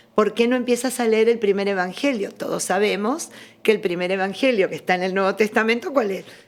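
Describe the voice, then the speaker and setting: A woman talks at a fairly quick clip in a fairly high pitch, with ordinary pitch variation and a normal speaking voice. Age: 60s. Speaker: religious studies scholar. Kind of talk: interview testimony.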